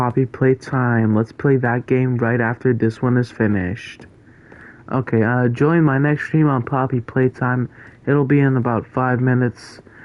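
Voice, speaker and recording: Medium-pitched and at a moderate pace, a man talks with fairly even intonation and very even loudness. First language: not English. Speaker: gaming streamer. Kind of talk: live gameplay stream chat. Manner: casual, hesitant with fillers.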